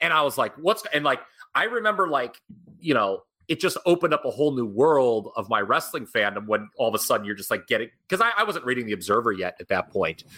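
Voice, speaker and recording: Talking at a very fast pace, a man with a fairly high, bright and sharp voice and vocal fry swings widely in both pitch and loudness. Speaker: podcast host. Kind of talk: interview conversation.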